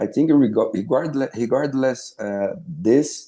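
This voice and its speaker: Against a quiet background, a man speaks very slowly with a Brazilian Portuguese accent. His tone is dark and mellow, and his intonation is lively. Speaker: former pro footballer and sports broadcaster. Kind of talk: interview. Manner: halting, many fillers and repeats.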